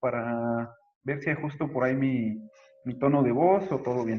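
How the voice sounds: The pace is moderate as this man speaks. His voice sits at a medium pitch and varies in an ordinary way.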